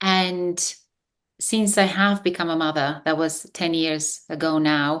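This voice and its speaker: In a Bulgarian accent, the speaker goes at a fairly slow pace with fairly even intonation over a quiet background. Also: woman, fairly low pitch for a woman. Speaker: business coach. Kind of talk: interview. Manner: halting with fillers.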